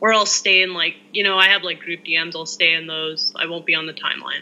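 With a Canadian accent, a woman talks at a fairly quick pace with ordinary pitch variation over noticeable background noise. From Canada. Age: young (19). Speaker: sports fan on social media. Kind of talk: casual interview chat.

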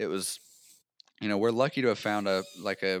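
An ordinary speaking voice at a fairly quick pace with fairly even intonation, in a dry, close sound with no echo and a very clean recording with a silent background. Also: man. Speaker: podcast host. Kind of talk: casual round-table chat.

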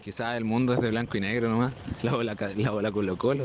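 With a Chilean accent, a man talks at a fairly quick pace in a medium pitch against noticeable background noise. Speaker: vlogger. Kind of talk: casual monologue.

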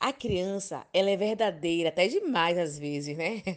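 Against a quiet background, a woman talks in an ordinary speaking voice with ordinary pitch variation. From Ilhéus, Bahia, Brazil. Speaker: preschool teacher and children's party entertainer. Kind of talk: interview.

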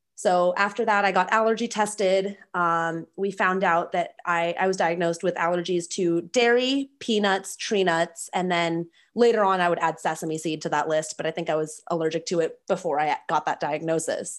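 A woman with an unremarkable speaking voice talks at a moderate pace, her pitch fairly low and its variation ordinary, against a quiet background. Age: 20s. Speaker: food allergy patient and social media creator. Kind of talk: casual interview.

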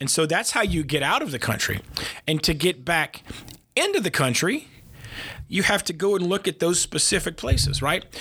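A man with a high pitch and a bright, sharp tone talks at a moderate pace with lively intonation. Long, frequent pauses break up his speech. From Louisiana, Acadiana (St. Landry area). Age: 40s. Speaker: travel agent. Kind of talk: casual interview.

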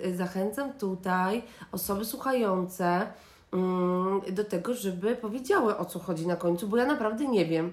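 Pitch varies in an ordinary way while the words come fairly quickly. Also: woman. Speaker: podcast co-host. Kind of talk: casual chat. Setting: recording at home in an apartment.

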